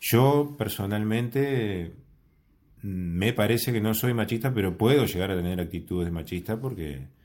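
With a Uruguayan accent, a man talks at a fairly slow pace, his intonation lively. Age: 40s. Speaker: podcast guest. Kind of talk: casual chat. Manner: slow, calm speech.

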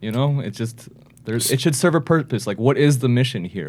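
Lively intonation marks a man with an American accent talking at a fairly quick pace. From New England, Andover. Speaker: guest, biotech consultant. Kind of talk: casual interview chat.

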